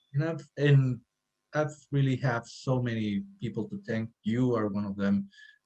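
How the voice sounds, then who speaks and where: With a Spanish accent, a man speaks at a fairly slow pace, his medium-pitched voice dark and mellow in tone with ordinary pitch variation. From Mexico, Sinaloa. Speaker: cafe owner and architect. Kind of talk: podcast interview. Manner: halting.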